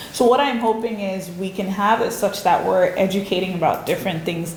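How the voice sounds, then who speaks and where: Medium-pitched woman's voice in a Nigerian accent, with ordinary pitch variation, audible room echo and noticeable background noise. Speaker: researcher presenting a seminar. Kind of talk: seminar talk with audience questions.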